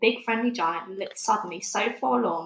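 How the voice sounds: A woman's medium-pitched, fairly bright voice with vocal fry, ordinary pitch variation and a moderate pace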